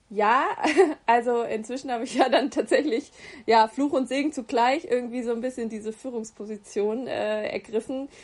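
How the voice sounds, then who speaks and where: Her voice is high-pitched and moves at a moderate speed. The intonation stays mostly level. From Hesse, Germany (Gießen). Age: 20s. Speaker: agency consulting team lead and freelance photographer. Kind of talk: interview. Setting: video call. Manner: hesitant, many filler sounds.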